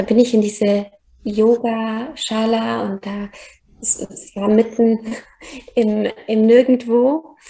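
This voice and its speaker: Somewhat breathy and fairly high-pitched, a woman with a dark, mellow tone speaks very slowly in a monotone, flat delivery, with big swings in loudness and long, frequent pauses. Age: 30s. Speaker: yoga teacher and podcaster. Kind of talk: personal testimony in interview. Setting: remote call.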